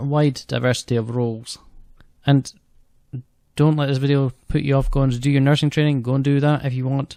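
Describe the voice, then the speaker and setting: A man with a Scottish accent, monotone, flat intonation, and a dry, close sound with no echo. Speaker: student operating department practitioner, theatre support worker. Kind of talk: casual vlog talk to camera. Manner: fast.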